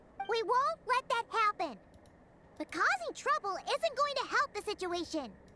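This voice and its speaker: In a put-on character voice, the speaker uses an extremely high pitch and a moderate pace. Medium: video game. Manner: excitable.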